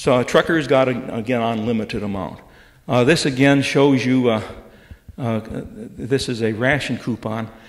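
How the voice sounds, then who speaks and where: In an American accent, a man talks at a moderate pace with ordinary pitch variation, and audible room echo surrounds his voice. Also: medium pitch for a man. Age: 70s. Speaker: retired professor. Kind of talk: lecture. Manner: halting.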